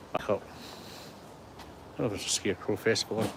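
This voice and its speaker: This is a man speaking with a west of Scotland accent. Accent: west of Scotland Scottish. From Scotland, Coatbridge in Lanarkshire. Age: 60s. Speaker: vlogger. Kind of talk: casual walking vlog. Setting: outdoors, walking around a heritage park. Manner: chatty and rambling.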